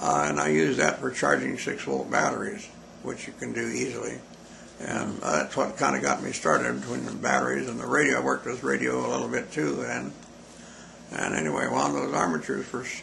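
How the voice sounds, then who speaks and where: A man with a very deep, low voice and an American accent, talking at a fairly quick pace, with noticeable background noise and audible room echo. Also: ordinary pitch variation. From Montana, US. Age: 90s. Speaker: interviewee recalling his life. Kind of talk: oral history interview. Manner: halting.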